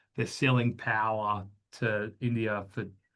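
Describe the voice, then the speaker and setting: In an Australian accent, a man speaks at medium pitch. His intonation is monotone and flat. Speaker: business founder. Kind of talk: webinar interview. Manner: hesitant, many fillers.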